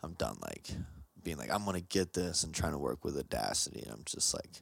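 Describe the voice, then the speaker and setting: With vocal fry and a bright, sharp tone, this voice swings very widely in pitch at a moderate pace. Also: man. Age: 30s. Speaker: podcast co-host. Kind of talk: casual chat.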